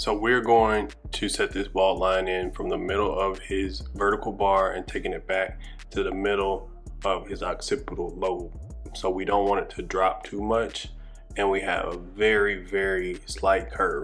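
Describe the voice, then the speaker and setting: Faint music sits in the background while a man speaks at a moderate pace. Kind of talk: tutorial. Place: shop.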